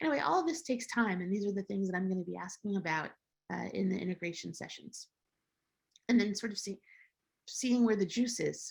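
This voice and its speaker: Somewhat breathy, a woman at medium pitch talks at a fairly quick pace with lively intonation and long, frequent pauses. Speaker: psychedelic therapy lecturer. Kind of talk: lecture.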